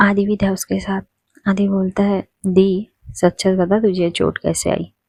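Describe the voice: Behind this plain reading aloud, the background is quiet.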